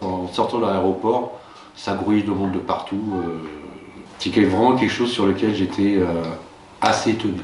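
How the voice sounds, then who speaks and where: Speaking at a moderate pace with long, frequent pauses, a man with a fairly low pitch and fairly even intonation is heard over noticeable background noise and audible room echo. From France. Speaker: schoolteacher. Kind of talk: interview. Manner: hesitant, many fillers.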